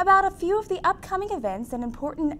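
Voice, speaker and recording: The speech moves at a fairly quick pace with very wide pitch swings. Light background noise is present. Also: woman. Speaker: news anchor. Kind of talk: news reading. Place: studio. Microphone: lapel.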